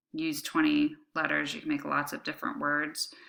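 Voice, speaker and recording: In a very clean recording against a silent background, a woman talks at a moderate speed. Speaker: high school biology teacher. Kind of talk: lecture. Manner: casual, many fillers.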